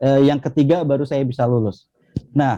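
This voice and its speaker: Spoken at a moderate pace with a Javanese accent. The tone is dark and mellow, and the sound is dry and close with no echo. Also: man. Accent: Javanese accent still noticeable. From Jambi, Indonesia (Rimbo Bujang, transmigration area). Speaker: academic, former national student achiever finalist. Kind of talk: interview conversation. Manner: many filler hesitations.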